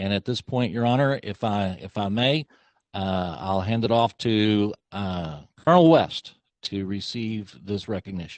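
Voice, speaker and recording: At a fairly slow pace, a man with a normal speaking voice talks at a fairly low pitch with ordinary pitch variation. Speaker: county commissioner. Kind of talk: public meeting remarks; reading aloud a resolution. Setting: county commissioners court meeting.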